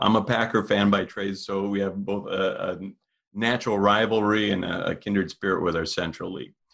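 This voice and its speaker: In a Minnesota accent, a man talks at a fairly low pitch. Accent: Midwestern Minnesota. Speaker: podcast host. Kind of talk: interview.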